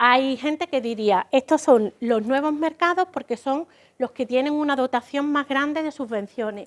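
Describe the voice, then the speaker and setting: At a moderate pace, a woman speaks at high pitch with ordinary pitch variation, the sound dry and close with no echo on a very clean recording with a silent background. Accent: Andalusian. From Andalusia, Spain. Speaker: business consultant. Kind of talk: lecture.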